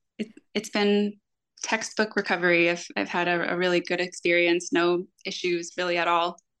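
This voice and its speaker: A plain, everyday voice with an American accent, at a moderate pace with fairly even intonation, against a quiet background. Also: woman, fairly low pitch for a woman. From Florida. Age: 30s. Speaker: bariatric surgery patient. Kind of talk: casual interview chat.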